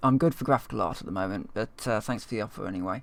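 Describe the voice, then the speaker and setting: A man's put-on character voice in a London accent, raspy and medium-pitched, with lively intonation and a very fast pace. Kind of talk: reasonably neutral.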